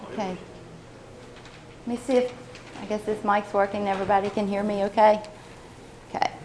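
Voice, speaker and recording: A woman of medium pitch talks at a fairly quick pace with long, frequent pauses, her intonation monotone and flat over noticeable background noise. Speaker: agricultural researcher. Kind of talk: conference talk. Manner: fast.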